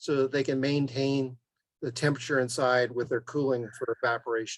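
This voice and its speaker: This is a man with an unremarkable speaking voice at medium pitch. His intonation is fairly even and his pace moderate. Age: 60s. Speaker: beekeeper, guest speaker. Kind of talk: Q&A at online club meeting.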